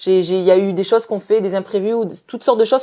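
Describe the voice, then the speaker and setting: In a dark, mellow tone, a woman talks at a very fast pace. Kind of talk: casual chat.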